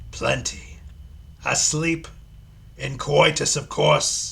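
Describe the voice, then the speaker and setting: Doing a put-on character voice, a man speaks at a very slow pace in a sinister tone. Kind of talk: theatrical, formal. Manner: sinister, sly.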